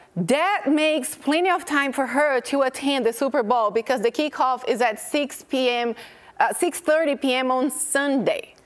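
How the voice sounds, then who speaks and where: Over noticeable background noise, a woman speaks at a high pitch with ordinary pitch variation and very even loudness. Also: fairly slow pace. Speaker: TV show host. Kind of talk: casual chat. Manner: animated.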